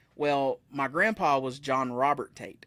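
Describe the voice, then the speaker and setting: Bright and sharp in tone, a man with an Appalachian accent speaks at a fairly high pitch in a very clean recording with a silent background. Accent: Southern US (Appalachian). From US South, Blue Ridge Mountains. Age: 30s. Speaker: musician. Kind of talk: casual chat. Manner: fast.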